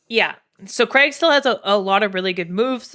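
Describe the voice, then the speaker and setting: A woman with a Canadian accent speaks in a fairly high voice with lively intonation. The recording is very clean, the background silent. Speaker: streamer and fighting game player. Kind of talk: live-stream commentary on a tier list. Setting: live stream. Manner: animated, emphatic.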